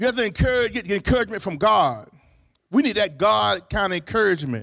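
With an animated, warm tone, a man speaks at a high pitch with very wide pitch swings in a very clean recording with a silent background. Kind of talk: sermon. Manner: animated call-and-response preacher cadence, repeating phrases and asking for amens; warm, upbeat, exhorting and encouraging.

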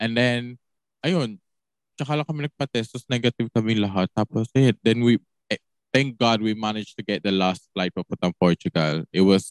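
With a plain, everyday voice, a man speaks at medium pitch and a moderate pace, his intonation lively. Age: 20s. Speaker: podcast guest. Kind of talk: casual chat.

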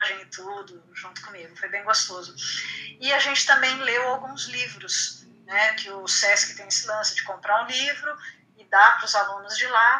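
Ordinary pitch variation marks a woman's voice heard over noticeable background noise. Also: fairly high pitch for a woman, moderate pace, big swings in loudness. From Brazil, Santos (São Paulo coast). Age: 50s. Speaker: writer. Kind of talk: casual interview.

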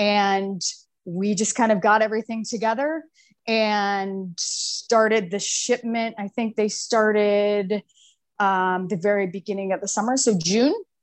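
With an American accent and an ordinary speaking voice, a woman talks at a medium pitch and a fairly slow pace with fairly even intonation against a quiet background. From US Midwest, small-town Ohio. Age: 30s. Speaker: entrepreneur. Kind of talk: podcast interview.

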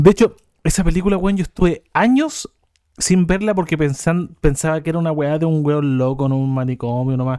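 On a very clean recording with a silent background and a dry, close sound with no echo, a man with a fairly high pitch and a dark, mellow tone speaks at a fairly quick pace. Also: ordinary pitch variation. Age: 30s. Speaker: podcast co-host. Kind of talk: casual chat.

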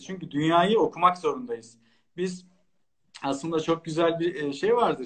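A moderate pace with ordinary pitch variation. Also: man. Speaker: lawyer. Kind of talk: interview.

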